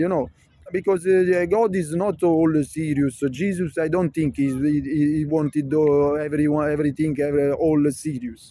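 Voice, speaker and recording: With a Neapolitan accent and a dark, mellow tone, a man speaks with fairly even intonation and very even loudness. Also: fairly high pitch for a man, moderate pace. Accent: Italian (Neapolitan) accent in English. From Naples area, southern Italy. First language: Neapolitan/Italian. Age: 50s. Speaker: vlogger. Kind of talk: casual monologue vlog. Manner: halting, many fillers.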